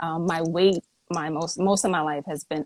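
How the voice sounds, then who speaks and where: An ordinary speaking voice from a woman with an American accent, fairly low in pitch, with fairly even intonation and a dry, close sound with no echo. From New York City, Brooklyn (Flatbush). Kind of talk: interview. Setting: Instagram live video stream.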